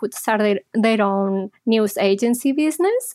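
The sound is dry and close with no echo. A woman with a slight Spanish accent speaks at a fairly high pitch and a moderate pace. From Spain (Barcelona). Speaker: psychologist. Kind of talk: interview.

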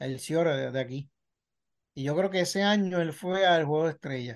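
Against a quiet background, a man speaks at a fairly quick pace. His pitch is high, with ordinary variation. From Puerto Rico. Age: 40s. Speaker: sports journalist. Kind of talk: casual interview chat.

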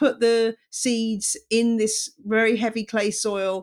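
A woman with a fairly high pitch and a British accent, on a very clean recording with a silent background. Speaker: journalist and podcast host. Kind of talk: casual interview.

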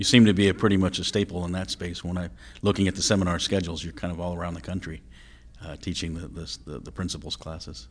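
A man with a very deep, low pitch talks at a very fast pace with vocal fry and big swings in loudness over a quiet background. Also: ordinary pitch variation. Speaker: podcast host. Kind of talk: interview.

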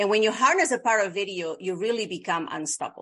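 A woman speaks with a Bolivian accent at a moderate pace and a medium pitch. Her tone is bright and sharp, and her intonation is lively. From Bolivia (La Paz). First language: Spanish. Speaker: video producer and media coach. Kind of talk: interview.

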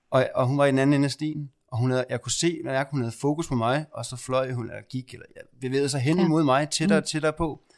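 The speech moves at a very fast pace with hardly any pauses. Its intonation is fairly even. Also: man, fairly high pitch for a man. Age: 30s. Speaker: podcast host and spiritual medium. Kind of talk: guided meditation; casual chat.

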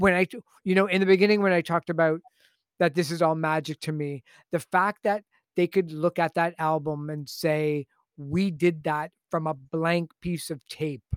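Speaking at a moderate pace with a Canadian accent, a man with a high pitch and fairly even intonation is heard dry and close with no echo on a very clean recording with a silent background. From Canada, Toronto. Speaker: music commentator and radio host. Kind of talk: casual interview.

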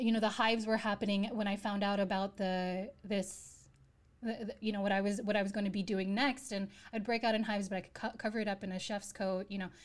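With an American accent, a woman talks at a fairly quick pace and medium pitch in a monotone, flat intonation that is somewhat breathy. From US, New York. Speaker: chef and former investment banker. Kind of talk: interview. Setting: remote call.

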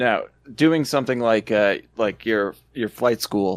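The speaker has a Canadian accent and an unremarkable speaking voice at a moderate pace. The recording is very clean, with a silent background. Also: man. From Ontario, Canada. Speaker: podcast co-host, film enthusiast. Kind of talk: casual chat.

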